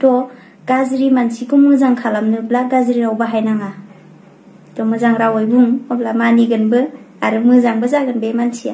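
A woman's high pitch in monotone, flat intonation at a fairly quick pace. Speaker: YouTuber answering viewer questions. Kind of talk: casual Q&A vlog. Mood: friendly, calm. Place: home room.

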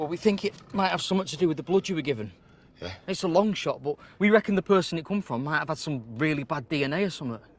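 A man talks at a very fast pace, with a dry sound and no echo. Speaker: actor in short film. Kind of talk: scripted drama dialogue. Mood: tense, urgent. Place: car.

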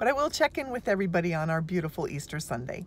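Speaking at a fairly quick pace, a woman with a fairly low pitch sounds dry with no echo over light background noise. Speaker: vlogger. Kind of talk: casual vlog chat. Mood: cheerful, relaxed. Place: car. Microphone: phone near.

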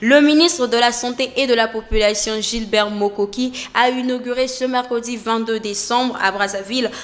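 Here a woman speaks at a moderate pace in a fairly high pitch. Her intonation stays fairly even. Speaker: news anchor. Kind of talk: news reading. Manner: formal; steady, measured newsreader delivery. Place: studio. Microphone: studio mic.

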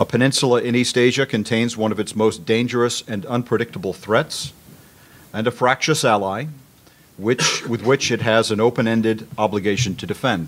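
Fairly even intonation from a man at a moderate pace. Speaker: retired Marine officer; conference panelist. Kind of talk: conference presentation, reading a paper. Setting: stage with audience. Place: meeting room. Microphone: podium.

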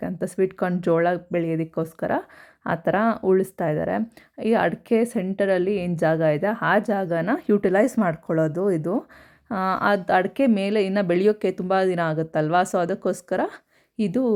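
The recording is very clean, with a silent background. A woman speaks in an unremarkable speaking voice at medium pitch with ordinary pitch variation. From rural Karnataka, Tumakuru district (near Huliyurdurga). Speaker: vlogger. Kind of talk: vlog narration. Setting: outdoors in village farm. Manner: casual, chatty.

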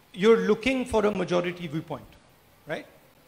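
The voice belongs to a man and sits high in pitch. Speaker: politician guest speaker. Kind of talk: interview answer. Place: hall. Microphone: handheld.

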